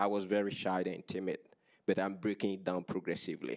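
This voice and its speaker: Delivered at a moderate pace, the speech has an American accent and a monotone, flat intonation. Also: man. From Africa. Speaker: doctoral student and workshop co-presenter. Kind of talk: workshop presentation.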